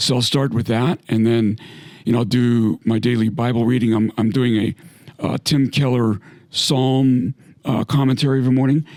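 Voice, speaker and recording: This man's voice holds a very even loudness, and the sound is dry and close with no echo. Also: medium pitch for a man, fairly even intonation, moderate pace. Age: 60s. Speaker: retired navy submarine captain. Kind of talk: casual chat. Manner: halting.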